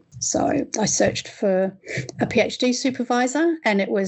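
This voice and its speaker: A woman talks in a somewhat breathy voice with lively intonation. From East Africa, then Australia from high school. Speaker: education professor and researcher. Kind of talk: interview.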